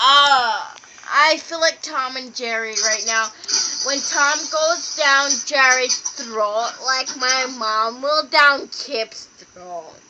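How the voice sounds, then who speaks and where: Over music in the background, a woman uses a raised, projected voice at a high pitch and a very slow pace. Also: ordinary pitch variation. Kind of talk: casual drunk chat to camera. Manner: slurred, rambling.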